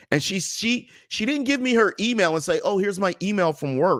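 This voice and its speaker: A man talks at a moderate pace in a high pitch, with lively intonation and an animated tone. The recording is very clean and silent, with a dry, close sound and no echo. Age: 40s. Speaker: comedian and motivational speaker. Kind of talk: casual chat.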